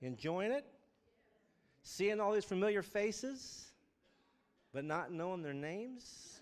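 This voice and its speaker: Lively in intonation, a man with a high pitch speaks at a fairly slow pace, leaving long, frequent pauses. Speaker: church leader praying. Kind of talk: reading aloud then prayer. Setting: church.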